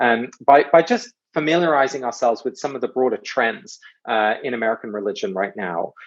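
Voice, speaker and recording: Speaking with an English accent, a man keeps a fairly quick pace. His pitch is medium, with ordinary variation. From England. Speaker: author and speaker on ritual. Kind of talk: guest talk. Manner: hesitant with many fillers.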